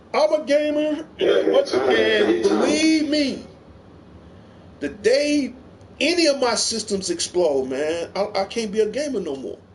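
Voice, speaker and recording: Over noticeable background noise, a man with an extremely high pitch speaks at a very slow pace, his voice making very wide pitch swings. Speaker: gaming livestream host. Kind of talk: casual livestream chat.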